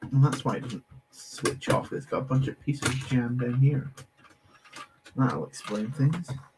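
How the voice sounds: At a medium pitch, a man speaks with a slightly mellow tone, a husky, rough edge and ordinary pitch variation. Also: fairly slow pace.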